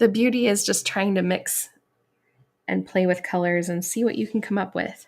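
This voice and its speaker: A normal speaking voice from a woman at medium pitch with fairly even intonation, on a very clean recording with a silent background. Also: moderate pace. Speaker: watercolor artist and teacher. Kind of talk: painting tutorial. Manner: casual.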